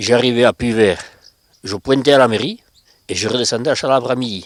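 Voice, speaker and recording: A man with an ordinary speaking voice, medium pitch, fairly even intonation and a fairly quick pace. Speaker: former factory worker. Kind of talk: interview.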